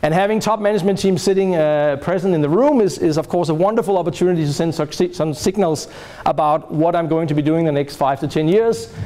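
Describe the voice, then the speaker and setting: Over noticeable background noise, a man speaks very fast in a high pitch, with very even loudness and hardly any pauses. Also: ordinary pitch variation. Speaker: professor. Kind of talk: lecture.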